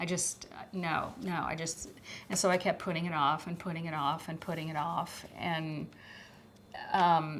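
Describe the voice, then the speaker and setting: Soft-spoken, a woman talks at a moderate pace in a fairly low pitch. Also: fairly even intonation. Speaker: former schoolteacher. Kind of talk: testimony.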